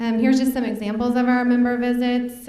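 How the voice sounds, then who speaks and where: A woman with an American accent is heard over noticeable background noise, with audible room echo. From North Central Kansas, Smith Center. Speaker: state agriculture program staffer. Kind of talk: presentation. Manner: hesitant, many fillers.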